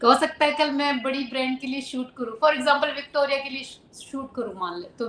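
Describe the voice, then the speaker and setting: A woman with a high pitch speaks at a moderate pace. Noticeable background noise can be heard. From Rajasthan, Churu. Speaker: model and actress. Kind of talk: interview. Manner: casual, Hindi-English code-switching.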